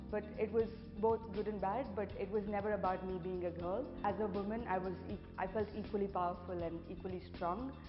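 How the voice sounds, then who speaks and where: With an Indian accent, a woman talks at a medium pitch and a fairly quick pace, her intonation fairly even and hardly any pauses, while music plays in the background. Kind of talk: interview answer.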